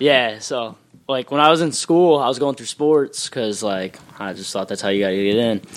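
Speaking at a moderate pace with lively intonation and big swings in loudness, the man has an ordinary speaking voice at a medium pitch. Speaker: pro wrestler. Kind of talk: wrestling promo. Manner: boastful.

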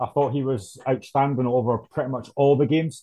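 This man has a medium pitch, a dark, mellow tone and a somewhat breathy quality. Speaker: Hearts fan. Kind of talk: casual chat.

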